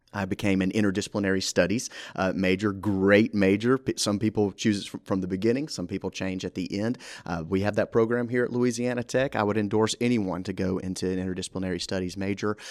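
Someone with a Southern US accent speaks at a very fast pace, in a very clean recording with a silent background and a dry, close sound with no echo. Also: man, fairly low pitch for a man. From US South, Mississippi. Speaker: university orientation coordinator. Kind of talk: casual interview. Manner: enthusiastic.

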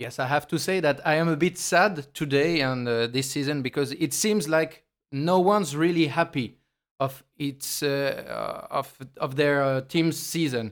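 On a very clean recording with a silent background, a man with a French accent speaks at a fairly slow pace, with a fairly high pitch and ordinary pitch variation. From France. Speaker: football commentator. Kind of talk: casual chat.

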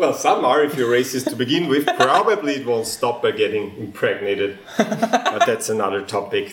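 Amid noticeable background noise, a man talks at a moderate pace with very wide pitch swings. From Austria. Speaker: geneticist and comedian. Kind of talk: casual interview chat.

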